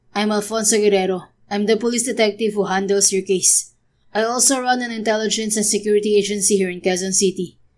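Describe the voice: This is plain reading aloud, delivered with fairly even intonation.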